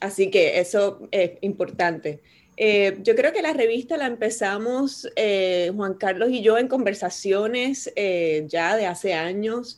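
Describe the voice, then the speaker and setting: In a very clean recording with a silent background, a woman speaks at a very slow pace with hardly any pauses and ordinary pitch variation. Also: medium pitch for a woman. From Puerto Rico. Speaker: poet and university professor. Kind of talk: casual interview.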